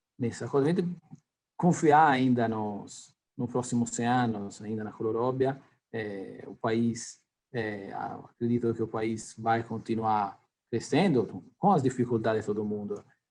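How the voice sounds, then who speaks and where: With an Italian accent, a man talks at a fairly slow pace, his medium pitch moving with ordinary variation. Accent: non-native Portuguese, Italian-tinged. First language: Italian (speaking Portuguese). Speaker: company executive. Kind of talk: interview. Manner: halting, many fillers.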